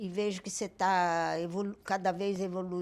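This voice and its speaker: A woman speaks at a fairly low pitch in a monotone, flat intonation, on a very clean recording with a silent background. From Belém do Pará, northern Brazil. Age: 80s+. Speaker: retired teacher and volunteer, host's mother. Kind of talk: casual family podcast chat.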